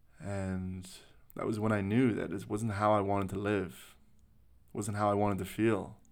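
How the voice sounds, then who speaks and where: A man with a Canadian accent and a fairly low pitch, at a moderate pace with long, frequent pauses, fairly even intonation and audible room echo. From Canada. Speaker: spiritual podcast host. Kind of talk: personal monologue. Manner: unscripted, reflective.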